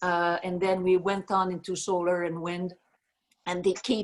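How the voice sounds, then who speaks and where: In a French-Canadian accent, a woman speaks at a fairly slow pace. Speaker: energy company chief executive. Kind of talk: video Q&A. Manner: halting with many fillers.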